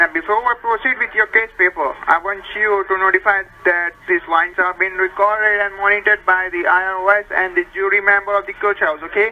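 Fairly quick and with hardly any pauses, this voice carries an American accent. The intonation stays fairly even. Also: man, high pitch for a man. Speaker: phone caller claiming to be a tax agent. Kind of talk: scripted phone call speech. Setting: phone. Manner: scripted, formal delivery. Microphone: phone line.

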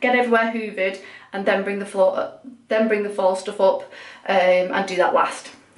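A woman's voice shows ordinary pitch variation. Audible room echo is present. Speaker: home vlogger. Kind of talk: casual vlog chat. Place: bathroom. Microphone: phone near.

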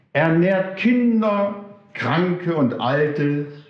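In a room with audible echo and a quiet background, a man speaks at a very slow pace. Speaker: storyteller or teacher in costume. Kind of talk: spiritual talk reading a story aloud. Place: hall.

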